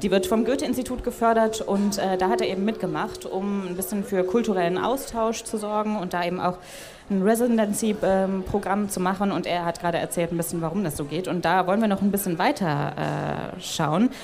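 A woman at a medium pitch and very fast pace, with hardly any pauses, ordinary pitch variation, noticeable background noise and audible room echo. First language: German. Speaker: podcast interviewer. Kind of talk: interview with German summaries. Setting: stage at a festival.

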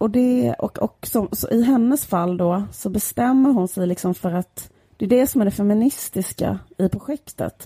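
With hardly any pauses, a woman of medium pitch talks at a moderate pace in a dark, mellow, somewhat breathy voice with lively intonation, recorded with a dry, close sound and no echo. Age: 30s. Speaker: podcast co-host. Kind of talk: casual chat.

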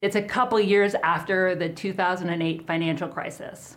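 A woman speaks in a plain, everyday voice at a medium pitch, with ordinary pitch variation. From US South, Georgia. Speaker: writer and political organizer. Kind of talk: personal essay testimony.

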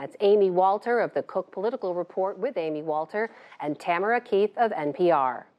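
Speaking at a fairly quick pace, a woman with a medium pitch and lively intonation has an unremarkable speaking voice. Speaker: news anchor. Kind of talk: news interview.

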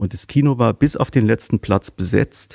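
A man speaks in a dark, mellow tone with ordinary pitch variation. The recording is very clean, with a silent background and a dry, close sound with no echo. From Rhineland, near Cologne. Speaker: art historian, provenance researcher. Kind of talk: interview. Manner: halting, many fillers.

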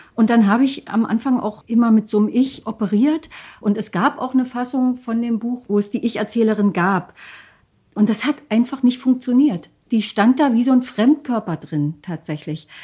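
This woman's voice has a dark, mellow tone and a fairly high pitch. Her pitch variation is ordinary. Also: moderate pace. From eastern Germany, Lusatia (Hoyerswerda, Saxony). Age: 50s. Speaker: author and documentary filmmaker. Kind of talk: interview.

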